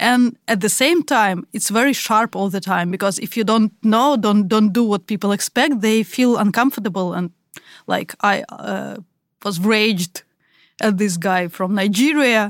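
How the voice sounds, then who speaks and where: At a fairly slow pace, a woman speaks with a Russian accent and ordinary pitch variation. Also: dry, close sound with no echo. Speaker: podcast co-host. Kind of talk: casual chat.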